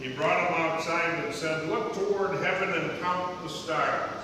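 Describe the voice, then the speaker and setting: High for a man, his voice keeps a fairly even intonation at a fairly slow pace. Strong room echo and noticeable background noise fill the recording. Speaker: scripture reader at lectern. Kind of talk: scripture reading. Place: church.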